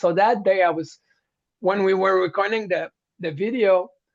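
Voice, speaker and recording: A man speaks with a French accent and a high pitch. His pace is moderate, with ordinary pitch variation. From Quebec, Montreal (French-speaking). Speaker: heavy metal singer. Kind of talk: interview.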